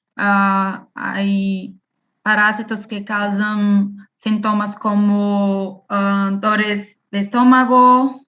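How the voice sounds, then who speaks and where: A woman with a non-native accent at medium pitch, very slow pace and monotone, flat intonation. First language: Portuguese (speaking Spanish). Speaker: parasitology researcher. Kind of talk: Q&A after online lecture. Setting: video call. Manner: halting.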